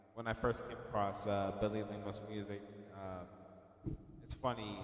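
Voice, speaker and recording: Against noticeable background noise, a man speaks fairly slowly in a fairly low, monotone, flat voice. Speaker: radio show co-host. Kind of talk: casual chat.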